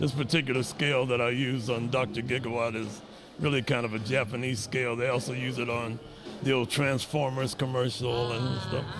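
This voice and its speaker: With an American accent, a man talks at a fairly quick pace and medium pitch, his intonation fairly even, amid audible room echo and noticeable background noise. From Chicago, South Side. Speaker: musician and composer. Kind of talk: interview. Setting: networking event. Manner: halting with many fillers.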